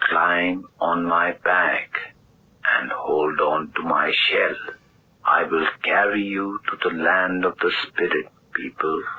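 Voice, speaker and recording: A man speaks in a put-on character voice with a solemn tone. His pace is very slow. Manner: solemn, commanding.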